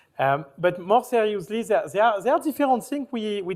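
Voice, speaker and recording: Here a man speaks at a fairly quick pace. His pitch is high, with lively intonation. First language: French. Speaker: company founder, panelist. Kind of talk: panel discussion. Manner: halting.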